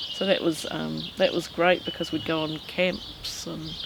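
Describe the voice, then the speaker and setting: Through noticeable background noise, a woman with a New Zealand accent speaks at a very slow pace. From New Zealand, Masterton. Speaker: local resident. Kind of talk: interview testimony. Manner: hesitant, many fillers.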